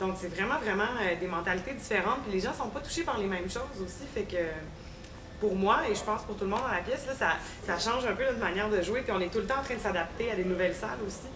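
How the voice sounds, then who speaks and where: With noticeable background noise and audible room echo, a woman rushes along at a very fast pace in a medium pitch with ordinary pitch variation. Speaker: stage actress. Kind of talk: casual interview. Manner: hesitant, many fillers.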